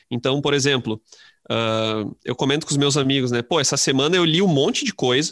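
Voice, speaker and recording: Recorded very cleanly against a silent background, a man talks in a normal speaking voice at a fairly high pitch with ordinary pitch variation. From interior of Rio Grande do Sul, Brazil. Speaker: high school literature teacher. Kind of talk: casual interview chat.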